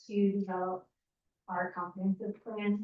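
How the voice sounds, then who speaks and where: Soft-spoken and monotone, a woman talks at a fairly slow pace in a medium pitch with flat intonation. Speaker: planning consultant. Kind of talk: presentation. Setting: town hall meeting room.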